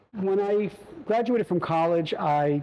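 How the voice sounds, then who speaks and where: Someone speaks with a New York accent over noticeable background noise. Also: man. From New York, the Bronx. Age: 60s. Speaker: family bakery owner. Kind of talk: testimony. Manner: halting, many fillers.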